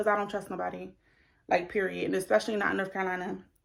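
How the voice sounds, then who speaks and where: In a very clean recording with a silent background, a woman speaks in an animated tone. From New Jersey. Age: 20s. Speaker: beauty vlogger. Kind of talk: casual chat.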